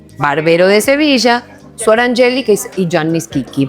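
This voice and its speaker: A woman talks in a warm, upbeat tone at a medium pitch. Music plays in the background. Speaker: podcast host. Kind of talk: podcast interview host talk.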